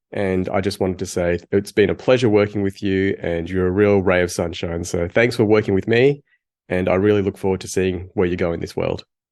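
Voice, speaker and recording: A man's very deep, low voice, fairly quick in pace with fairly even intonation, over a quiet background. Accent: Australian. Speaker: podcast co-host. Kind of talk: casual chat. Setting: video call.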